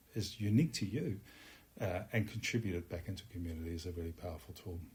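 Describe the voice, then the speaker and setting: A man's somewhat breathy voice moves at a moderate pace with ordinary pitch variation. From Netherlands. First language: Dutch. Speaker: musician. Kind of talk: interview.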